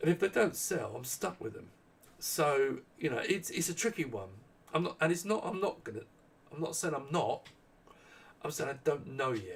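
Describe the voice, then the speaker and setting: A man's somewhat breathy voice moves at a moderate pace and makes very wide pitch swings. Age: 60s. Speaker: small business owner and maker. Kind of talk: live Q&A stream. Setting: live stream. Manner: halting, many false starts.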